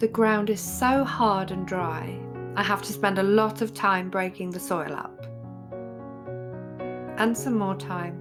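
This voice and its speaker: A woman with an English accent at a medium pitch, fairly slow and calm, relaxed, with lively intonation, long frequent pauses, and music in the background. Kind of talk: vlog voiceover.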